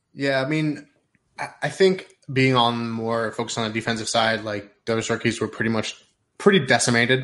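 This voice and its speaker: A man's unremarkable speaking voice at medium pitch, with ordinary pitch variation, a moderate pace and a quiet background. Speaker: fantasy football podcaster. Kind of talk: casual chat. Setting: video call.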